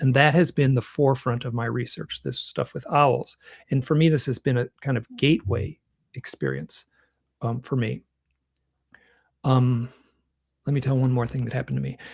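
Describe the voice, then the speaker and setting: A man with a somewhat breathy, medium-pitched voice speaks at a moderate pace with fairly even intonation and long, frequent pauses, in a dry, close sound with no echo. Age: 60s. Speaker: UFO researcher and author. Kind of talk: conference talk. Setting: online conference. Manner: halting.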